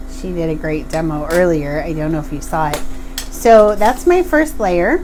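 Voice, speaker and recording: Moderately paced speech from a woman amid noticeable background noise and audible room echo. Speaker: glass bead artist. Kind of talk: tutorial. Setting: live stream from home studio. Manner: casual, with frequent fillers.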